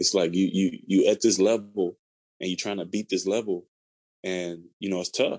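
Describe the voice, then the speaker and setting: The voice has a dark, mellow tone. It comes with an American accent. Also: man. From Chicago, US Midwest. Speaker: mortgage lender, former college football player. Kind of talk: casual interview. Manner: halting, many fillers and repeated words.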